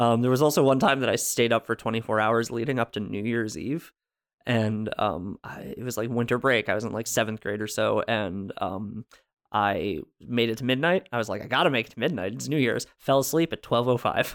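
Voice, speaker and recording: On a very clean recording with a silent background, a man in an American accent uses a normal speaking voice at medium pitch and a fairly quick pace with ordinary pitch variation. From US Northeast, New Jersey. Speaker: podcast guest. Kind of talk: casual chat.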